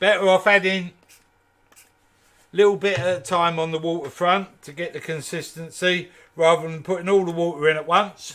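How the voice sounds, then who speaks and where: Relaxed in tone, a man speaks at high pitch with fairly even intonation. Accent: Kent. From Kent, England. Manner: relaxed, instructional.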